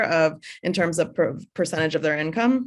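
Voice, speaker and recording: A woman at a moderate pace, an ordinary speaking voice with ordinary pitch variation, over a quiet background. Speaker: director of the virtual Y, event host. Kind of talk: webinar host talk.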